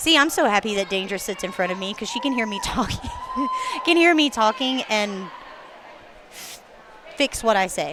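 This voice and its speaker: A woman with a Southern US accent speaks at a moderate pace in a fairly high pitch, with lively intonation and big swings in loudness. Long, frequent pauses break up her speech, and background noise is noticeable. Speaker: roller derby announcer. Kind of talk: live commentary. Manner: casual, chatty.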